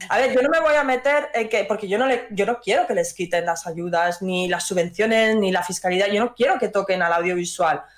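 At a fairly quick pace and with hardly any pauses, a woman keeps her loudness very even over noticeable background noise. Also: medium pitch for a woman. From Madrid, Spain. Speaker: indie game studio CEO. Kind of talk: interview.

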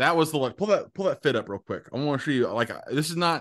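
A man with vocal fry speaks with lively intonation against a quiet background. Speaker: co-host. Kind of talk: casual chat.

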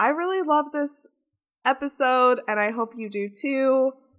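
A woman speaks in an ordinary speaking voice at a fairly slow pace. Her pitch variation is ordinary. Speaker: podcast host and producer. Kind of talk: podcast interview.

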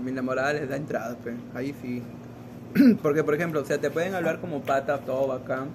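This man's voice sits fairly high in pitch, with ordinary pitch variation. Noticeable background noise runs under his speech. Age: 20s. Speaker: medical student. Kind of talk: casual chat.

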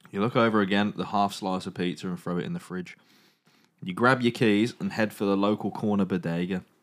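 With an English accent, a man speaks at a fairly quick pace in a playful tone, his fairly low pitch showing ordinary variation. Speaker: podcast host. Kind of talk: dramatic narration of a choose-your-own-adventure zombie book. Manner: suspenseful storyteller voice, hushed for tense moments; breaks into playful asides and mock accents.

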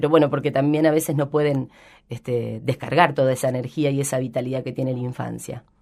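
A woman talks at a fairly quick pace with very deep, low pitch, a dark, mellow tone and vocal fry. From Buenos Aires province, Argentina (Rojas). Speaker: educator / childhood expert. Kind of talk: radio interview.

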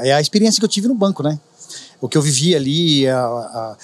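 Very wide pitch swings across a man's fairly high voice. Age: 50s. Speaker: juice street vendor, former bank employee. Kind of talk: casual interview chat. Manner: talkative.

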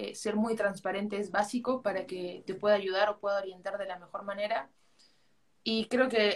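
At a moderate pace, a woman in an Arequipa accent speaks with a fairly high pitch and a monotone, flat intonation. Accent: Peruvian Spanish (Arequipa). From Peru, Arequipa. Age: 20s. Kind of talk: interview. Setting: live video call on social media.

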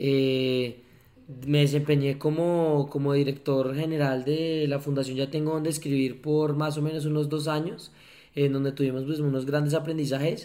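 The pace is fairly slow and the intonation monotone and flat. The tone is dark and mellow. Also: man, fairly high pitch for a man. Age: 20s. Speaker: entrepreneur, foundation director. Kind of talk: casual interview. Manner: hesitant, many fillers and repetitions.

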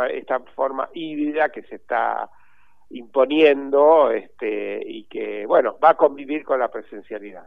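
A man talks with a Rioplatense accent. His pace is fairly slow. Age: 60s. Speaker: journalist and cultural manager. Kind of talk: interview. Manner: halting, many repetitions.

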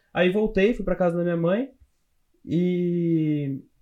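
This man speaks in a high voice. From interior of São Paulo state, Brazil (Louveira). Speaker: software developer. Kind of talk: casual interview chat.

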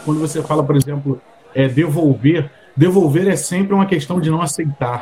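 Noticeable background noise sits behind a man speaking at a moderate pace. His pitch is fairly high, with ordinary pitch variation. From Rio de Janeiro. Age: 40s. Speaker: podcast co-host. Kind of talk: casual chat.

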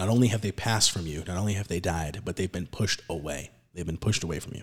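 On a very clean recording with a silent background, a man speaks in a very deep, low, somewhat breathy voice with ordinary pitch variation. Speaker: podcast host. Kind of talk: casual religious discussion podcast. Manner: casual, chatty.

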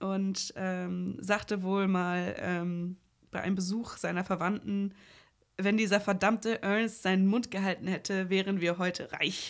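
Speaking at a fairly slow pace, a woman holds a monotone, flat intonation. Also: medium pitch for a woman, very clean recording, silent background. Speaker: film podcast co-host. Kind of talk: casual film review chat. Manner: hesitant, many filler sounds.

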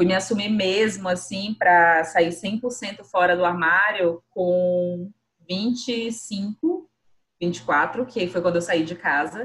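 This woman talks very slowly. She has a medium pitch. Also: ordinary pitch variation. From Brazil, Boa Vista, Roraima. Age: 20s. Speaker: podcast co-host, designer. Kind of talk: casual chat.

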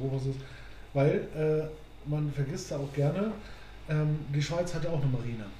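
The speech has long, frequent pauses and ordinary pitch variation, with audible room echo. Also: man, fairly high pitch for a man, moderate pace. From northern Germany, near Hamburg. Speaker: podcast co-host. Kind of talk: casual chat.

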